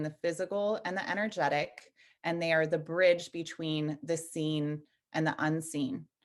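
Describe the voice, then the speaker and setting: Her voice is an unremarkable speaking voice, fairly low for a woman. She speaks at a moderate pace over a quiet background. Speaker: energy healing teacher and nutritionist. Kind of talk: interview.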